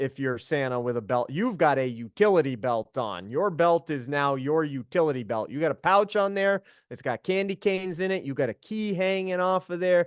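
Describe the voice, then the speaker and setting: A man talks in a normal speaking voice at a moderate pace, fairly high in pitch with lively intonation and hardly any pauses. The background is quiet and the sound dry and close, with no echo. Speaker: Santa performer and guest host. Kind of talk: online group talk.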